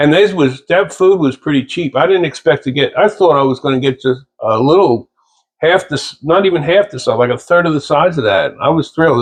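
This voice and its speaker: Speaking at a moderate pace, a man uses lively intonation with a fairly high pitch. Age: 60s. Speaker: aquarium hobbyist vlogger. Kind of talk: casual video narration. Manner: casual, rambling with hesitations.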